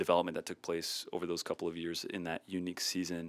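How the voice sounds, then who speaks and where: In a very clean recording with a silent background, a man with an American accent speaks in a very deep, low voice. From US Midwest (north central Iowa). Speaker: worship ministry professor. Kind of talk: interview.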